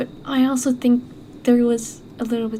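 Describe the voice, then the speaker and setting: A woman with a non-native accent speaks at a high pitch. Her intonation stays monotone and flat. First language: not English. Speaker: gaming YouTuber. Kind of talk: let's play commentary. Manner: hesitant, many fillers.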